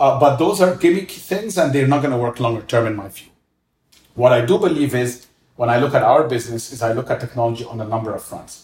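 A somewhat breathy man with an Arabic accent talks very fast at a medium pitch. His intonation is lively, with big swings in loudness. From Egypt, Cairo. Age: 40s. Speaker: restaurant co-founder and former finance executive. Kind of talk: interview, casual conversation.

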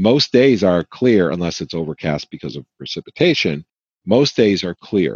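A man's very deep, low voice with vocal fry, very wide pitch swings, big swings in loudness and a moderate pace. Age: 50s. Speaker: conspiracy theorist interviewee. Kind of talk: interview testimony.

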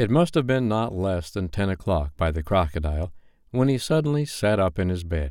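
The speaker reads in an unforced voice.

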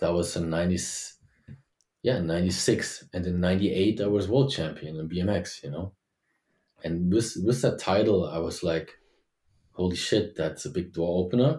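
With a German accent, this speaker talks at a moderate pace with ordinary pitch variation, long and frequent pauses, and a dark, mellow, somewhat breathy tone on a very clean recording with a silent background. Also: man, very deep, low pitch for a man. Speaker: former BMX world champion. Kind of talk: interview.

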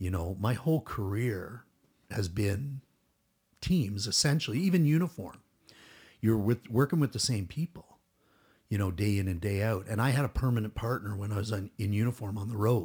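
A man with a Canadian accent speaks at a moderate pace in a fairly low, somewhat breathy voice with ordinary pitch variation and long, frequent pauses, on a very clean recording with a silent background. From Toronto, Canada. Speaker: retired SWAT police officer. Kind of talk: casual chat.

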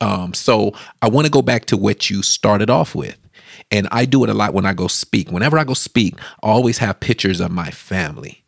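With vocal fry and a fairly low pitch, a man talks at a fairly quick pace in an animated tone with lively intonation, the sound dry and close with no echo. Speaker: podcast host. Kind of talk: interview.

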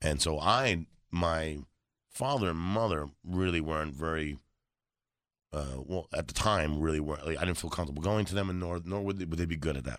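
The man has a very deep, low pitch. The background is quiet. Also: ordinary pitch variation. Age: 40s. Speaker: comedian. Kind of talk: casual chat.

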